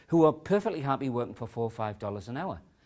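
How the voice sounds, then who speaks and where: In a very clean recording with a silent background, a man of medium pitch speaks with very wide pitch swings. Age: 60s. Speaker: author and education speaker. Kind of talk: talk to an audience. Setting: conference session with audience.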